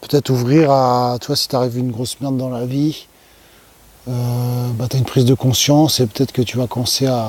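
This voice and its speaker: A man's medium-pitched voice, flat and monotone, at a fairly quick pace broken by long, frequent pauses. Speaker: YouTuber sharing personal experience. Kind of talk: casual vlog monologue. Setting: outdoors at night. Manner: soft-spoken; hesitant, many fillers.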